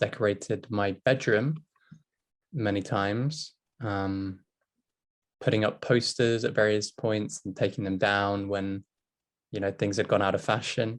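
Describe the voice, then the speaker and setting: A man's fairly low voice in a British accent, at a fairly slow pace with fairly even intonation and long, frequent pauses. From England. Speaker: English teacher. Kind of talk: casual discussion.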